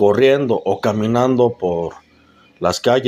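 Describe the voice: Simply plain reading aloud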